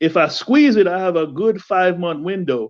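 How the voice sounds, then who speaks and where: With a Jamaican accent, a man speaks at a moderate pace in a high pitch with lively intonation. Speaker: home gardener, viewer of the channel. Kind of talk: casual chat.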